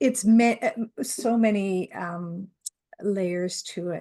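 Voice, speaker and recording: A woman with a dark, mellow tone speaks at a very slow pace with ordinary pitch variation. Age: old. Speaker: grandparent raising a grandchild. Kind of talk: interview answer.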